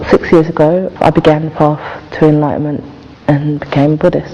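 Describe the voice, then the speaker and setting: A woman's voice amid noticeable background noise. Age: 20s. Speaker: youth worker. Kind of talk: testimony.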